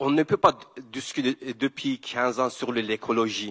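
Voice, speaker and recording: With a Kurdish accent, a man talks at a very slow pace and a medium pitch. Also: dry, close sound with no echo. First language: Kurdish (speaking French). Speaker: environmental activist. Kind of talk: panel talk. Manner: halting.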